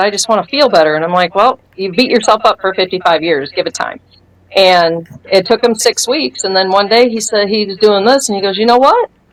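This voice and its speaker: Speaking fairly quickly in a plain, everyday voice, a woman holds a medium pitch that varies in an ordinary way. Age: 50s. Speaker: retired firefighter giving product testimony. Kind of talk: testimony interview.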